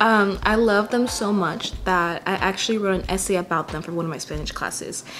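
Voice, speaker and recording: With music in the background, a woman with an American accent talks at a fairly quick pace, her medium pitch showing ordinary variation. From California Central Valley. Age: 20s. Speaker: vlogger. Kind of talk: casual vlog monologue. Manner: casual, hesitant with fillers.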